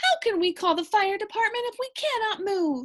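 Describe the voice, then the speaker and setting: A woman's squeaky, put-on character voice at an extremely high pitch, with lively intonation and a moderate pace. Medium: read story. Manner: frightened, high-strung.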